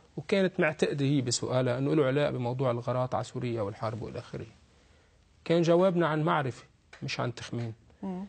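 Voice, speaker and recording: A somewhat breathy man speaking at a fairly quick pace with lively intonation. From Lebanon. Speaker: political analyst. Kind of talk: TV talk show interview. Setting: studio. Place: studio. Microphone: lapel.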